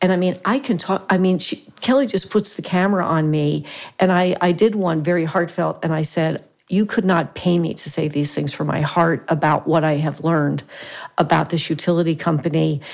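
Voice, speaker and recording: Noticeable background noise sits under a woman's fairly low-pitched voice. She keeps a moderate pace and ordinary pitch variation. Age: 70s. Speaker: podcast host. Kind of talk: interview. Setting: studio. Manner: animated.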